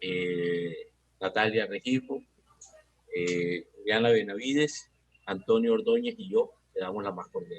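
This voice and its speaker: A man talks at a very slow pace. His loudness swings widely, and he leaves long, frequent pauses. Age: 70s. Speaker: cultural program host. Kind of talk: event introduction.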